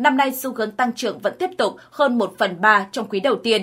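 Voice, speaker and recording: Her bright, sharp voice sits fairly high for a woman, moving at a moderate pace with lively intonation. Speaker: news narrator. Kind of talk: news reading.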